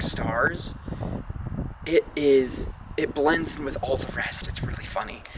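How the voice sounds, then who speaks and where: This man takes a fairly slow pace, with background noise noticeable throughout. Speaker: astrophotographer vlogger. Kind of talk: casual vlog narration. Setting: outdoors at a pond at night.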